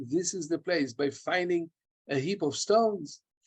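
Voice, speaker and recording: Here a man talks in a high pitch. The background is quiet. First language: Hebrew and German. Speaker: archaeology professor. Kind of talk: Q&A after lecture. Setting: video call. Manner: halting. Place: home room. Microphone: webcam.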